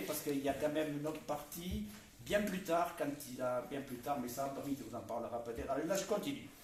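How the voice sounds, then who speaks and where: A man's lively intonation amid noticeable background noise and audible room echo. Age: 70s. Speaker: amateur poetry reader. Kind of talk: public reading with commentary. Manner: halting.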